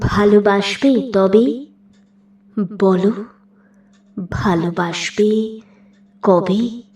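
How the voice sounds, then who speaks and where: Noticeable background noise sits behind the recording. The woman speaking has a medium pitch. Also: ordinary pitch variation. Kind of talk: poetry reading. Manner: emotional, expressive.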